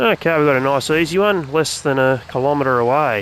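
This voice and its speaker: With an Australian accent and a relaxed tone, a man speaks at a fairly quick pace and fairly high pitch, with ordinary pitch variation and noticeable background noise. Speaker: gaming YouTuber. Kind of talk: gameplay commentary tutorial. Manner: relaxed, casual; softly spoken at times.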